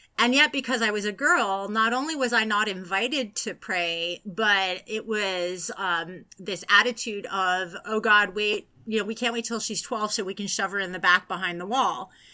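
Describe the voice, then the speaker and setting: Someone with an American accent talks at a moderate pace with hardly any pauses, in a bright, sharp tone with ordinary pitch variation. The recording is very clean, with a silent background. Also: woman, medium pitch for a woman. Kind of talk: interview. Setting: podcast interview. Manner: animated.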